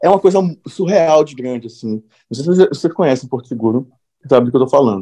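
The voice has lively intonation and a dark, mellow tone, with a dry, close sound and no echo. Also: man. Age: 30s. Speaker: podcast host and screenwriter. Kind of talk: casual chat.

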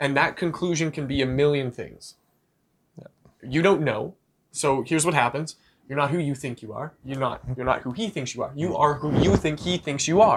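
At a moderate pace, a man talks in an unremarkable speaking voice with fairly high pitch and ordinary pitch variation. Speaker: podcast co-host. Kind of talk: casual chat.

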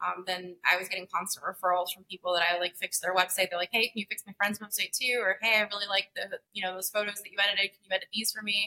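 A woman speaks very fast with hardly any pauses, her tone bright and sharp. Her intonation is monotone and flat, and the sound is dry and close with no echo. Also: medium pitch for a woman. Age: 20s. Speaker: marketing agency founder. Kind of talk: casual interview.

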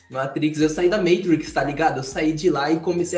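With music in the background, a man talks at a fairly quick pace and a fairly high pitch. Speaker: podcast panelist. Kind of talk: casual chat. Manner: soft-spoken.

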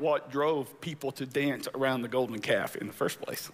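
A man talks at a fairly quick pace with a fairly high pitch. He has an ordinary speaking voice with ordinary pitch variation. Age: 50s. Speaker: pastor. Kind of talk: sermon.

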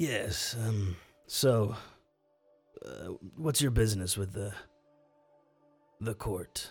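A raspy, put-on character voice moves at a very slow pace with long, frequent pauses while faint music plays in the background. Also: man, medium pitch for a man. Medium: actual play. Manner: dry, clipped.

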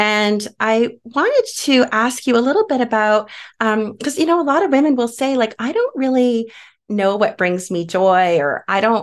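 Her pitch swinging very widely, a woman speaks in a fairly high, warm, enthusiastic voice over a quiet background. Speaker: podcast host. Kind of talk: interview conversation.

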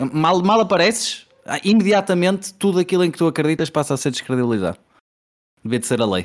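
In a Porto accent, a high-pitched man talks at a very fast pace with lively intonation, very even loudness and long, frequent pauses, on a very clean recording with a silent background. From Portugal, Porto. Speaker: podcast host. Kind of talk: casual chat.

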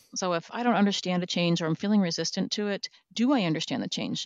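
In an American accent, a woman speaks in a plain, everyday voice with ordinary pitch variation. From Minnesota. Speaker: organizational change manager. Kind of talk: interview.

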